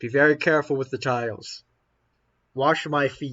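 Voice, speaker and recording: Put-on character voice from a man, fairly high-pitched and moderately paced. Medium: actual play.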